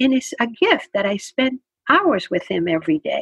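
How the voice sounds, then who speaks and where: High-pitched, a woman's voice comes through dry and close with no echo. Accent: Spanish. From Spain. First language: Spanish. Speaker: retired literature professor and author. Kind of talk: interview.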